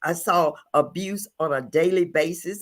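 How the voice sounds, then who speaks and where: Recorded very cleanly against a silent background, a woman with a Louisiana accent speaks at a fairly low pitch with fairly even intonation. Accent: Southern US (Louisiana). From US South, rural Louisiana. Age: 70s. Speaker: podcast co-host. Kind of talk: personal testimony. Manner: halting.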